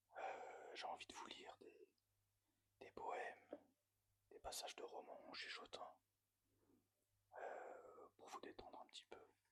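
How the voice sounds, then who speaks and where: Very slow whispering is broken up by long, frequent pauses. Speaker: ASMR reader. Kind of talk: casual talk to camera. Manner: whispered.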